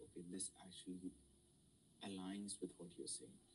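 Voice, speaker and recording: Deep and very low in pitch, a man with an Indian accent talks at a moderate pace in a dark, mellow tone. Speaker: student mentor. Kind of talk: lecture. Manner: halting.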